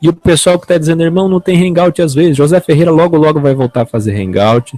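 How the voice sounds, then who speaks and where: Speaking at a very fast pace, a man uses a dark, mellow tone and lively intonation in a dry, close sound with no echo. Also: fairly high pitch for a man. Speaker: online evangelical preacher and show host. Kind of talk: unscripted talk to camera.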